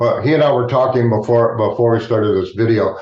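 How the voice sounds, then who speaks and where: A man's somewhat breathy, medium-pitched voice with ordinary pitch variation. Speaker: hypnotist. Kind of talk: interview host, casual.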